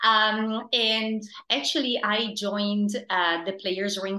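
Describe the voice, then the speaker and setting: Speaking fairly slowly, a woman with an Italian accent has a bright, sharp tone. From Italy. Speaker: theater producing director. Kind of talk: interview. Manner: hesitant, many fillers.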